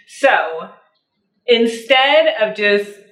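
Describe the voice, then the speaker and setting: In a space with audible room echo, a woman speaks with ordinary pitch variation. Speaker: lifestyle vlogger. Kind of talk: casual vlog talk to camera with cooking.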